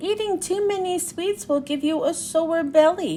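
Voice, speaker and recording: A woman's squeaky, put-on character voice at an extremely high pitch, moderate pace and clear background noise. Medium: read story.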